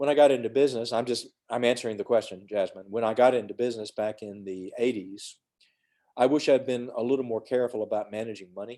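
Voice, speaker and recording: Against a quiet background, a man with a Southern US accent speaks at a medium pitch in a dark, mellow tone with fairly even intonation. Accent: Southern US (Georgia). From US South, Georgia (west of Atlanta). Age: 60s. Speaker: emergency physician. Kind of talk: mentoring talk to students on video call. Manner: casual, conversational with fillers.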